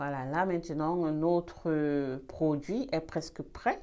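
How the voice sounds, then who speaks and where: Very slowly and with fairly even intonation, a woman speaks in a dark, mellow, very deep and low voice on a very clean recording with a silent background. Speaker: beauty vlogger. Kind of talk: tutorial. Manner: trying to speak louder; halting.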